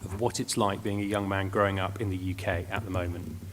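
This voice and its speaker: A man speaks at a very fast pace, his pitch fairly low. His voice is somewhat breathy. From Wales, near Cardiff. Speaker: think tank research director. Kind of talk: presentation.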